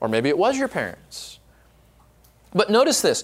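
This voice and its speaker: A man is talking. The pitch of his voice swings very widely. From Southern California, Orange County. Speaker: pastor. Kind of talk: conference workshop teaching. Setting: live workshop with audience.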